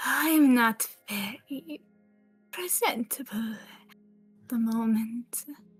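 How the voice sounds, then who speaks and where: Over faint music in the background, a female-sounding put-on character voice at a fairly high pitch speaks at a very slow pace. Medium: audio drama. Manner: slow, oozing, falsely friendly.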